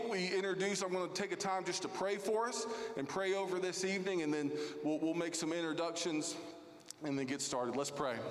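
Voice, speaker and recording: Over noticeable background noise, a man with a high pitch talks at a moderate pace with ordinary pitch variation. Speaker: lead pastor. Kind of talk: welcome and housekeeping announcements. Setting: church. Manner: friendly, formal.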